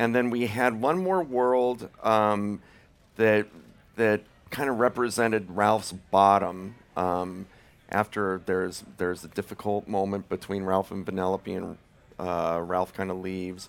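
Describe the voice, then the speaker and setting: Speaking at a fairly slow pace, a man has a plain, everyday voice with fairly low pitch and fairly even intonation. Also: very clean recording, silent background. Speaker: film director. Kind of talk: panel Q&A. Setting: stage with audience.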